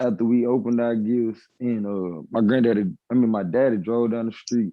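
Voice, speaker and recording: A man with a Nashville accent, medium in pitch, with fairly even intonation. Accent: Nashville southern drawl. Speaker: live-stream debate host. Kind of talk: casual chat.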